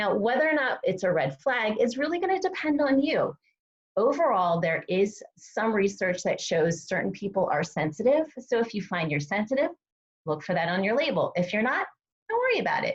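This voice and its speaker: This woman has a fairly high voice and an animated tone. Her pitch swings very widely. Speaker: dietitian presenting a nutrition webinar. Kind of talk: live webinar presentation. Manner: fast.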